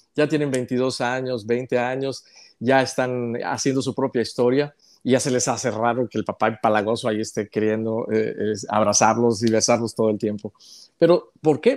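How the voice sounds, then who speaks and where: A man's medium-pitched voice with fairly even intonation, over a quiet background. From northern Mexico, Chihuahua. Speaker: journalist; journalist interviewee. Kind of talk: interview. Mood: warm, cheerful, laughing often. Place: home room. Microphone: earbuds.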